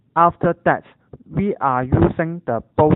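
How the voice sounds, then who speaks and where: With a Cantonese accent, the speaker goes at a very slow pace. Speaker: university student. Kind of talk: scripted narration.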